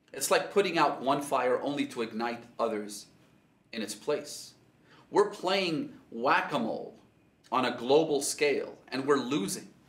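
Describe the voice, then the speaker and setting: Audible room echo surrounds the voice. A man speaks at a fairly slow pace. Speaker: speaker. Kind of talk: sermon. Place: home room.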